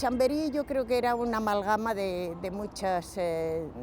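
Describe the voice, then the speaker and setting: Dark, mellow tone from a woman, pitch varying in an ordinary way. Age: 80s+. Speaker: interviewee, elderly resident. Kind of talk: oral history interview.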